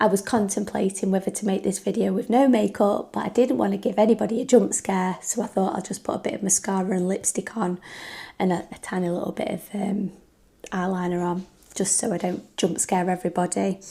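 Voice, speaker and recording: Fairly quick, somewhat breathy speech from a woman at medium pitch, with a dark, mellow tone and fairly even intonation. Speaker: YouTuber. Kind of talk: casual vlog chat. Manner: hesitant, with fillers.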